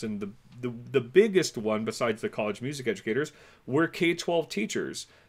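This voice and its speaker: A man with an American accent speaks at a moderate pace in a plain, everyday voice, his intonation lively, on a very clean recording with a silent background. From California. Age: 40s. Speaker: music education professor. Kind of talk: casual interview chat.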